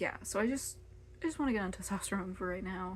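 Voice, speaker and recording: Somewhat breathy, a woman's voice sits at a medium pitch. Her pitch varies in an ordinary way. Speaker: video blogger. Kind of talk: personal vlog monologue. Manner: halting, many fillers; unscripted, casual.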